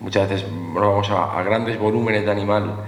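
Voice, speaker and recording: A man speaks very fast at a fairly low pitch. The room echo is audible, and background noise is noticeable. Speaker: former picador, veterinarian. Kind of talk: panel talk.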